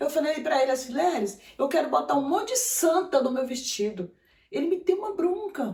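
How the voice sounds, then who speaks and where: Pitch swings very widely throughout. Delivery keeps a moderate pace. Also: woman, high pitch for a woman. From Brasília, Brazil (born in Maranhão). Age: 60s. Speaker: clown and clown teacher. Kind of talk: interview. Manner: halting.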